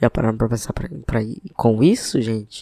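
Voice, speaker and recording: A man's dark, mellow tone at medium pitch comes through with a dry, close sound and no echo. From Piauí, Brazilian Northeast. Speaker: football podcast host. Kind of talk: casual football podcast commentary.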